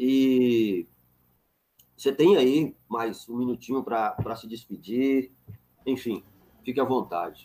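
A man at medium pitch talks at a very slow pace with long, frequent pauses. His tone is dark and mellow, with ordinary pitch variation and big swings in loudness. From northern Minas Gerais, Brazil (Montes Claros). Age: 40s. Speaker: philosophy professor, channel host. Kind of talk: casual chat, interview.

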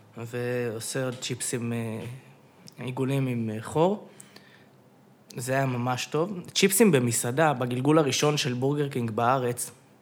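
This man has a medium pitch and fairly even intonation. He talks at a fairly slow pace. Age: 20s. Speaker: podcast guest. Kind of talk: casual chat. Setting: studio.

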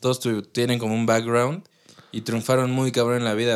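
A man speaks in an unremarkable speaking voice, at medium pitch and a moderate pace. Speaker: podcast co-host. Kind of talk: casual chat.

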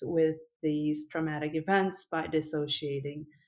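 A woman's fairly low voice with a Korean accent, at a fairly slow pace. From South Korea. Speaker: PhD student and mental health advocate. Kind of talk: interview.

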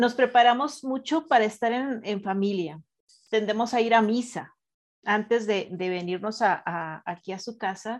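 A woman with a Mexican accent speaks at a fairly slow pace and fairly high pitch, with ordinary pitch variation, against a quiet background. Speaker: radio show co-host. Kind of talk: casual spiritual radio talk.

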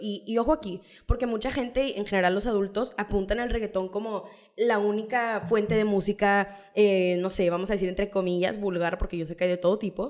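A woman talks fairly quickly in a normal speaking voice, at medium pitch with ordinary pitch variation. The recording is very clean, with a silent background. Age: 20s. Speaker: law student. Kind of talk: casual chat.

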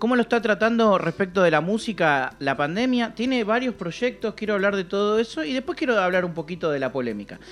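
A man talks at a very fast pace in a Rioplatense accent, his high pitch making very wide swings. Noticeable background noise runs beneath him. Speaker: podcast co-host. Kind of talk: casual chat.

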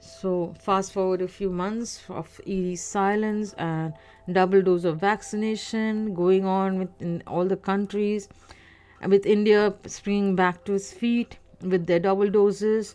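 Flat and monotone, a woman talks at a fairly slow pace. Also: medium pitch for a woman. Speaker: solo podcaster. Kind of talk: casual monologue. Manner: halting, many fillers.

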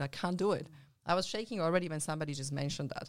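With a non-native accent, a woman talks in a very deep, low pitch with ordinary pitch variation. The recording is very clean, with a silent background. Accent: foreign-accented English. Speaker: mentor and ultramarathon runner, business coach. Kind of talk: casual chat.

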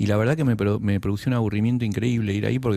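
A very fast, fairly low-pitched male voice with fairly even intonation. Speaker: writer and poet. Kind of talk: casual interview.

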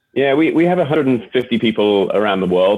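A man talks at a fairly quick pace with an English accent. His medium-pitched voice carries lively intonation.

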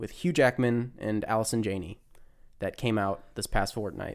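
A man with a plain, everyday voice at a medium pitch. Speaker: podcast co-host. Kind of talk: casual chat.

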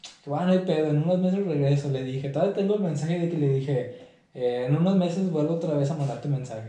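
A man's fairly high voice at a very fast pace, with audible room echo and noticeable background noise. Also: ordinary pitch variation. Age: 20s. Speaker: football freestyler. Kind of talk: casual interview.

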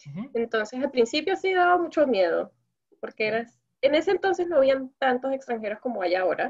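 A woman talks at a very fast pace with lively intonation. Her pitch is high. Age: 20s. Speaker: Venezuelan living in Korea, interviewee. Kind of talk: casual chat.

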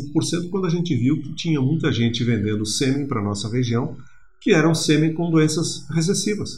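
A man's fairly high voice at a moderate pace, lively intonation, audible room echo and music in the background. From Rio Grande do Sul, Brazil (Erechim). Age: 50s. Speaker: regional development analyst. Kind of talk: interview. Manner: halting, with many fillers.

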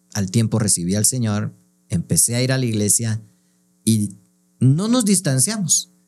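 A man's medium-pitched voice, dark and mellow in tone, with ordinary pitch variation and long, frequent pauses. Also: fairly slow pace. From Guatemala. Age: 40s. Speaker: clown, pastor and podcast co-host. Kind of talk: casual chat.

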